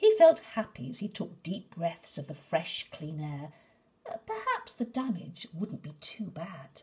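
Soft-spoken and soothing in tone, a woman talks at a fairly slow pace, with very wide pitch swings and big swings in loudness. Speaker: storyteller. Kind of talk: bedtime story reading aloud. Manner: soft, soothing, gently paced storyteller; expressive, with character voices for dialogue. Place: home room. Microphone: phone near.

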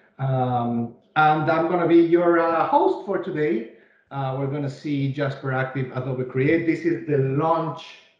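Speech in a Mexican accent comes at a fairly slow pace with fairly even intonation. The recording has audible room echo. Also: man. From Mexico City. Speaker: webinar host, presenter. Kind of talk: formal business presentation. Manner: speaks slowly, carefully enunciated. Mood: upbeat, welcoming. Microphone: video call.

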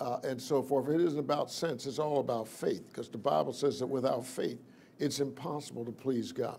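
A man's fairly even intonation over light background noise. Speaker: preacher. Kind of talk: sermon.

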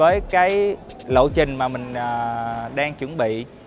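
A very slow delivery with ordinary pitch variation comes through a dry sound with no echo, with faint music in the background. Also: man. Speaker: music show coach. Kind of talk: interview answer. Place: studio. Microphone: lapel.

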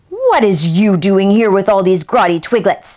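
In a put-on character voice, a female-sounding speaker talks at a moderate pace and a medium pitch. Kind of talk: dialect, broken grammar.

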